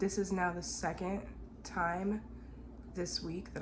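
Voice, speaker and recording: Speaking fairly slowly, a woman is heard in a room with audible echo and noticeable noise in the background. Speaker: family vlogger. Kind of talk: casual vlog. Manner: relaxed, rambling.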